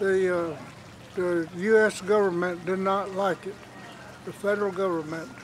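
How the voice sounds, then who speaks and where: Against noticeable background noise, a man with an Appalachian accent speaks fairly slowly at a high pitch with ordinary pitch variation. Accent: Southern Appalachian American. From US South, western North Carolina (Cherokee reservation). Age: 80s+. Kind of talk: interview, personal reminiscence. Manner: halting, many fillers.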